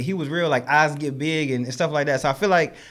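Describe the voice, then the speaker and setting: With an American accent, a man talks at a very fast pace in an animated tone and a fairly high pitch. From US South, Charlotte, North Carolina. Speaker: comedian and social media skit maker. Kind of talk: podcast interview. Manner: loud; casual, animated.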